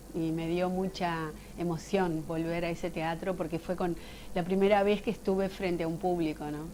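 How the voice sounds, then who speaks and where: A woman speaks at a moderate pace in a dark, mellow tone. Her intonation stays monotone and flat. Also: fairly low pitch for a woman. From Uruguay. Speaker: actress and voice actor. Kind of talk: interview.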